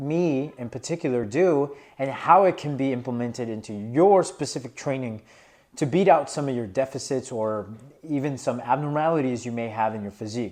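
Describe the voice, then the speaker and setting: A man talks at a moderate pace with a medium pitch and ordinary pitch variation. The background is quiet. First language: not English. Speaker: fitness vlogger, powerlifter. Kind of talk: casual vlog commentary. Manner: casual, filler-heavy.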